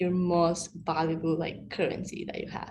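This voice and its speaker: A woman's fairly low voice with vocal fry and a Mexican accent, at a moderate pace. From Mexico. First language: Spanish. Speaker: panelist, recent college graduate. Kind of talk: panel discussion.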